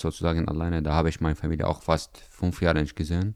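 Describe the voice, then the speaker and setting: Here a man speaks with an Arabic accent. His pitch is very deep and low. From Syria. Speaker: trainee in gastronomy. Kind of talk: interview. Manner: halting.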